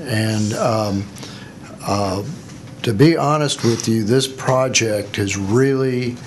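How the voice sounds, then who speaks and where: A man's medium-pitched voice at a very slow pace, with audible room echo and noticeable background noise. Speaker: agency staff official. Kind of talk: committee meeting. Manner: slow, halting.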